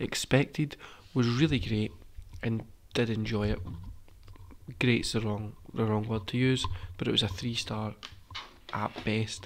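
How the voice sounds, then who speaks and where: The voice is quiet and fairly slow. Long, frequent pauses break up the speech. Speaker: wrestling podcast host. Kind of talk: casual review chat. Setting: recording at home.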